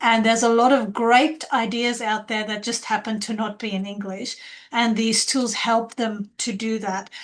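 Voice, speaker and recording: A woman's fairly high-pitched voice at a moderate pace, with monotone, flat intonation. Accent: non-native. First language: not English. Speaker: educator and researcher. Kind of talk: panel webinar discussion.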